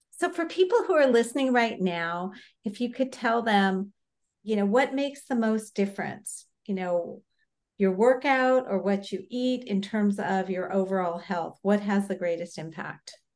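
Her voice an unremarkable speaking voice, a woman with medium pitch talks at a moderate pace with lively intonation. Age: 60s. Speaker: podcast co-host. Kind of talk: podcast interview.

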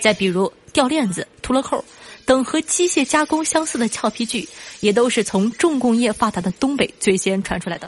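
With noticeable background noise behind her, a woman with a high pitch talks at a moderate pace and with lively intonation. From Northeast China. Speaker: podcast host. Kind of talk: scripted monologue.

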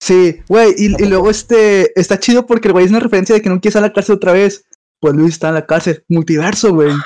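A high-pitched man with a Mexican accent talks at a very fast pace, his pitch varying in an ordinary way. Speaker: podcast co-host. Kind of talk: casual chat.

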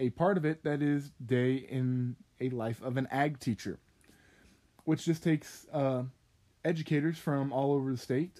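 In an American accent, a man with a fairly high pitch speaks with a dark, mellow tone. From Kansas, US. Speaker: agriculture education student. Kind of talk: podcast monologue.

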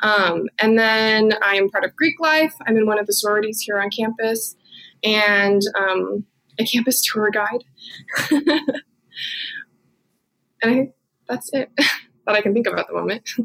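Her voice sits at a medium pitch for a woman, with ordinary pitch variation. She speaks at a fairly slow pace, with long, frequent pauses. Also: fairly bright tone.

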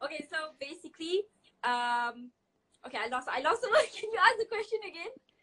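A woman's raised, projected voice has an extremely high pitch and a bright, sharp tone, with very wide pitch swings, big swings in loudness, and a fairly quick pace. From Malaysia. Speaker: fashion entrepreneur. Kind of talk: casual interview.

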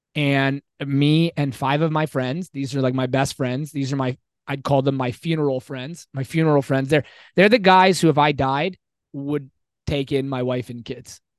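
A man's ordinary speaking voice at a moderate pace with fairly even intonation, dry and close with no echo, over a quiet background. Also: fairly high pitch for a man. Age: 40s. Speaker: fitness coach and teacher. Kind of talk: casual chat.

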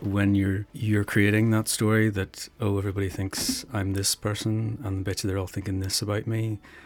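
With an Irish accent, a man speaks at a moderate pace in a fairly low, monotone, flat voice. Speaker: philosophy student who meditates. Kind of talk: casual chat.

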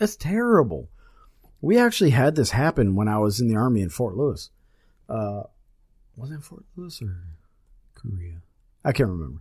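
A man's medium-pitched, somewhat breathy voice with an American accent, very wide pitch swings and long, frequent pauses, on a very clean recording with a silent background. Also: moderate pace, big swings in loudness. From South Carolina. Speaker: podcast host, firefighter, army veteran. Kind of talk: casual chat.

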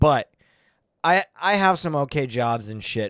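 A man with an unremarkable speaking voice and fairly high pitch uses lively intonation in a very clean recording with a silent background and a dry, close sound with no echo. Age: 30s. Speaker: comedian. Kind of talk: casual chat.

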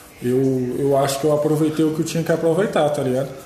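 A man at a very fast pace and fairly high pitch, fairly even intonation, with audible room echo and noticeable background noise. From Brazil, Federal District (Planaltina). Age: 20s. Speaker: podcast production crew member. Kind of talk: casual chat.

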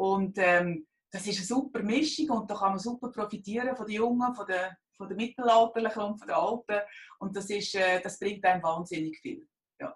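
This woman's voice is somewhat breathy and medium in pitch, with ordinary pitch variation. She keeps a moderate pace but swings a lot in loudness. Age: 50s. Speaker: job seeker. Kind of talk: interview. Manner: halting.

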